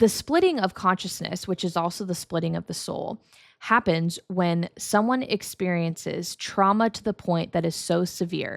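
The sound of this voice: On a very clean recording with a silent background, a woman speaks at a fairly low pitch. Vocal fry marks her voice as she keeps a moderate pace.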